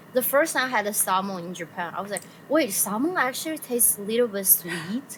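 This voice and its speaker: Over noticeable background noise, a woman with a Chinese accent speaks at a fairly quick pace and medium pitch with lively intonation. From China, Sichuan. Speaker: illustrator and streamer. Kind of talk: casual chat.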